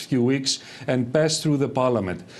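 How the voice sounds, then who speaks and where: A man speaks with a Greek accent. His pace is fairly quick, with ordinary pitch variation. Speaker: economist. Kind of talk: TV panel debate. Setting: remote link from Athens.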